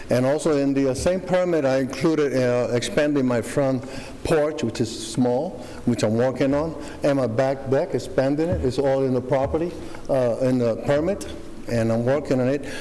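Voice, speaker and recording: At a moderate pace and with light background noise behind him, a man keeps his loudness very even, with ordinary pitch variation. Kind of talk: public hearing testimony. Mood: earnest, slightly nervous. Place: hall. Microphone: podium.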